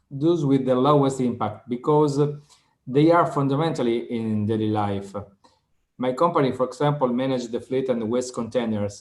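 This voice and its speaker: With an Italian accent, a man at medium pitch speaks with fairly even intonation. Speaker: waste fleet company manager. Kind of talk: webinar panel discussion.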